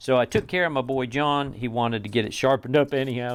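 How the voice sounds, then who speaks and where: In a Southern US accent, a man talks at a very fast pace and a medium pitch. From US South. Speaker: knife reviewer. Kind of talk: product review. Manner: casual, conversational.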